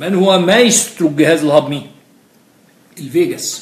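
This man has a high voice and an Egyptian accent, talking at a fairly slow pace. The room echoes audibly, and background noise is noticeable. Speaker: physiology lecturer. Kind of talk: lecture.

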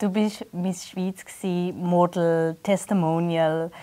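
Speaking very slowly, a woman uses a dark, mellow tone and monotone, flat intonation. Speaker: interviewer. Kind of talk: casual interview chat. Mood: warm, friendly. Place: studio.

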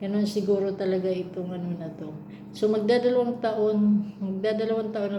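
A woman's flat, monotone voice, with audible room echo and noticeable background noise. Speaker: domestic worker and vlogger. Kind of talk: casual vlog monologue. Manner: halting, many fillers.

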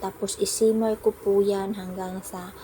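Over noticeable background noise, a woman speaks at a very slow pace with monotone, flat intonation. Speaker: domestic worker vlogger. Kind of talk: cooking vlog narration. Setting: home kitchen.

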